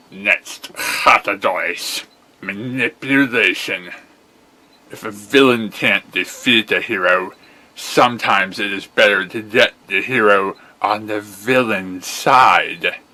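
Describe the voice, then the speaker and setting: A man puts on a character voice, speaking fairly slowly at a fairly low pitch. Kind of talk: character voice acting. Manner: menacing, theatrical.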